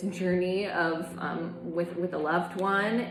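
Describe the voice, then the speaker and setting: A woman's fairly low voice comes through with audible room echo and noticeable background noise. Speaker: tarot reader. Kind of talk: tarot reading.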